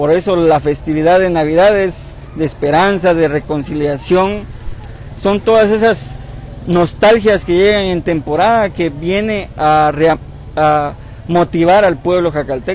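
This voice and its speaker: A man with a high-pitched voice speaks at a fairly slow pace in a dry recording with no echo and light background noise. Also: ordinary pitch variation. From Jacaltenango, Huehuetenango, Guatemala. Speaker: sculptor. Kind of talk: interview. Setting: outdoors at night in town park. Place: street. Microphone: lapel.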